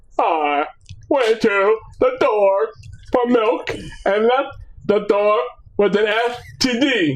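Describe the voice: A put-on, robotic character voice, fairly high in pitch, at a very slow pace.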